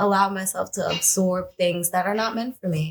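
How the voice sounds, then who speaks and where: An ordinary speaking voice, a woman talks at a moderate pace with fairly even intonation. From Brooklyn, New York, with time in Trinidad and Tobago. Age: 30s. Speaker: hair colorist. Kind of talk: interview.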